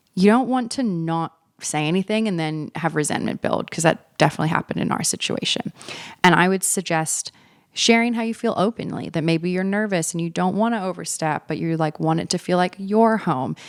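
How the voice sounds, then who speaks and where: Recorded with a dry, close sound and no echo, a woman with an American accent talks fairly quickly at a fairly low pitch with ordinary pitch variation. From Australia. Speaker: podcast host. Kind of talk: casual monologue. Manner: conversational, self-correcting.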